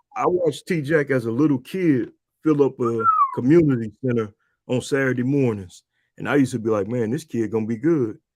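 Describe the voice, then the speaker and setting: A man speaks at a fairly quick pace in a normal speaking voice. His pitch is medium, with ordinary variation. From Michigan, Saginaw. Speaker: podcast host, basketball coach. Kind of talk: casual interview chat. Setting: live stream.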